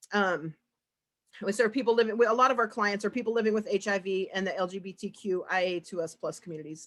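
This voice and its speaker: A woman speaks at a very fast pace in a medium pitch with ordinary pitch variation. The recording is very clean, with a silent background. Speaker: peer support specialist at addiction treatment program. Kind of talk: conference presentation. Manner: halting, many fillers and repeats.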